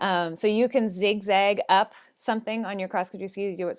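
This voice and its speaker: With a plain, everyday voice, a woman talks at a moderate pace with fairly even intonation. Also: very clean recording, silent background. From northern British Columbia, Canada. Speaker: ski instructor. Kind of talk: casual interview.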